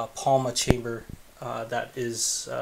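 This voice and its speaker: There is light background noise as a man speaks very slowly. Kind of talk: casual vlog chat. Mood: relaxed, pleased. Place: home room. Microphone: phone near.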